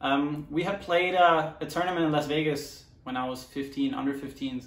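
A man with a German accent, his intonation monotone and flat, in a room with audible echo. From Germany, Mönchengladbach. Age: 20s. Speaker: professional soccer player. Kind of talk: personal story monologue. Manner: halting, many fillers. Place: home room.

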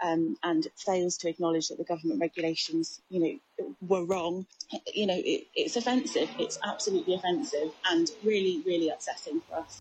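Somewhat breathy, a woman talks at a fairly quick pace with lively intonation. The sound is dry with no echo. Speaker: news interviewee. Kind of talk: interview answer.

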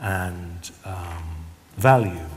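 Light background noise sits behind a man with a British accent. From UK. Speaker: Roma artist and researcher. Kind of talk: lecture. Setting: stage with audience. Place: stage.

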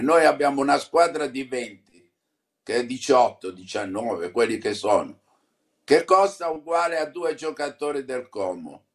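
A man talks at a very slow pace, with a quiet background behind him. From Apulia, southern Italy (Canosa di Puglia); Apulia, Italy. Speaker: football club president. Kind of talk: interview. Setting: remote video link. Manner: halting. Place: home room. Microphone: phone near.

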